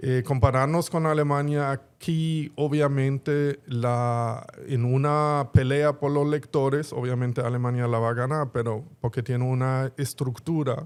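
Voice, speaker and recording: A man with a German accent and fairly high pitch talks at a fairly slow pace in a very clean recording with a silent background. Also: fairly even intonation, hardly any pauses. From Germany (Berlin). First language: German (speaking Spanish). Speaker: bookstore executive. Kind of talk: interview conversation.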